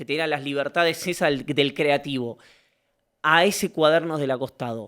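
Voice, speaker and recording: A man's bright, sharp, fairly high voice in a Rioplatense accent, with ordinary pitch variation. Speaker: interviewer. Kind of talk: long-form interview.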